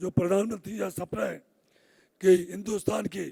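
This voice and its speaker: A man does a put-on character voice, hoarse and raspy at a high pitch. He keeps a moderate pace. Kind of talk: formal public address.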